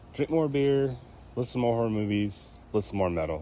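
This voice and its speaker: A man talks at a moderate pace with lively intonation over noticeable background noise. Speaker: podcast host. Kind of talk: casual chat. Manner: halting with fillers.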